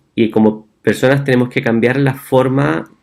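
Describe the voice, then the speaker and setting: Speaking at a moderate pace with a Chilean accent, a man shows vocal fry and ordinary pitch variation. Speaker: physician. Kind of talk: talk. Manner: halting.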